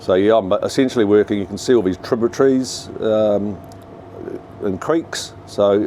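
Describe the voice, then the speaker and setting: With a New Zealand accent, a man speaks at a fairly low pitch over noticeable background noise. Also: ordinary pitch variation, moderate pace. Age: 60s. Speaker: commercial fishing boat captain. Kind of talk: casual vlog walkthrough. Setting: on a fishing boat at sea. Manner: hesitant, many fillers.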